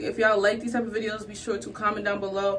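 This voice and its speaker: Over noticeable background noise, a woman talks very fast in a fairly high pitch. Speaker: beauty content creator. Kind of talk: tutorial. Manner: casual, chatty.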